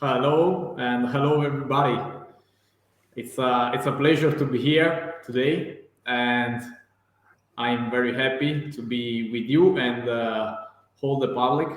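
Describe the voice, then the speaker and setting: A man with an Italian accent speaks at a fairly slow pace, with long, frequent pauses. His medium pitch carries fairly even intonation, and audible room echo is present. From northern Italy, near Venice. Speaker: real estate agent. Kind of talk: live-streamed interview. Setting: online live stream video call. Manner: halting, many fillers.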